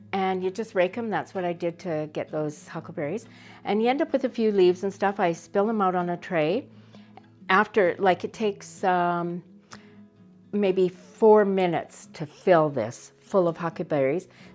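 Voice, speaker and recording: At a moderate pace and medium pitch, a woman speaks with lively intonation over music in the background. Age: 60s. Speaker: homesteader. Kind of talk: casual chat.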